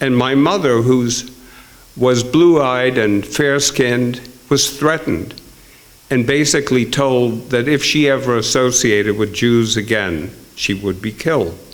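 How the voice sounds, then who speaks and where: Fairly slow speech from a man at medium pitch, with ordinary pitch variation, audible room echo and noticeable background noise. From Netherlands. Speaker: author and storyteller. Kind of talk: storytelling. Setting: stage with audience.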